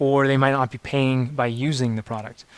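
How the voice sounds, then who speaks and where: This man has a medium pitch and an ordinary speaking voice. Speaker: startup workshop instructor. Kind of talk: workshop lecture.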